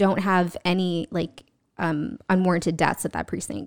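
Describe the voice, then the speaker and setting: In a dry, close sound with no echo, a woman with a normal speaking voice speaks at medium pitch and a moderate pace, her intonation fairly even. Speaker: podcast guest. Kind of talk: casual chat.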